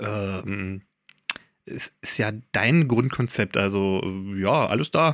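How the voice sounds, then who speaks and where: At a very slow pace, a man speaks in a fairly low pitch with lively intonation and long, frequent pauses, the sound dry and close with no echo. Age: 30s. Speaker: podcast co-host, outdoor content creator and photographer. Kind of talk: casual chat.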